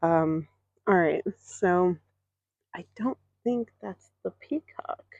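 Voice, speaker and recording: Soft-spoken and very slow, the voice has ordinary pitch variation and a dry, close sound with no echo. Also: woman. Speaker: vlogger. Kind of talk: walking tour vlog. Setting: outdoors.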